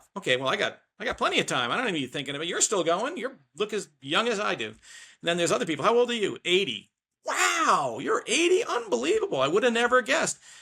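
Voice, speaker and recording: The man's tone is bright and sharp. Vocal fry runs through his voice. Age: 60s. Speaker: small business owner. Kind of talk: podcast interview. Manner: casual, animated.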